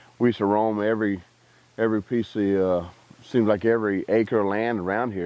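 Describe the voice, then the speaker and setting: Someone with a Texas accent talks at a very fast pace. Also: man. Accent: rural Texas. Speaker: army veteran. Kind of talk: interview testimony. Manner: halting.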